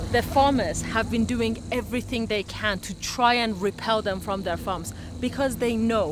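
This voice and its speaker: A woman's voice amid noticeable background noise, with a dry sound and no echo. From British Iranian. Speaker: TV reporter and documentary presenter. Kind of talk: documentary reporting. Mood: earnest, empathetic.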